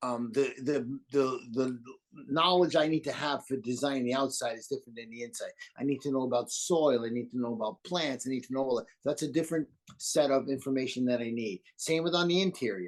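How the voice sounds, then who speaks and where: A man talks at a fairly quick pace, his medium pitch showing ordinary variation. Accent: New York. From New York. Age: 60s. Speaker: landscape designer. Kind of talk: interview.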